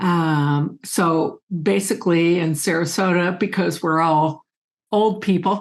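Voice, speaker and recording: A woman speaks very slowly at a fairly low pitch, her intonation fairly even against a quiet background. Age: 70s. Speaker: science communicator. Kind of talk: online meeting talk.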